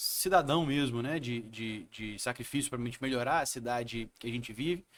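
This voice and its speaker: A man with an unremarkable speaking voice, ordinary pitch variation and a moderate pace. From Brazil, Espírito Santo (Vitória). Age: 30s. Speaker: city councillor and lawyer. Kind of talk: interview.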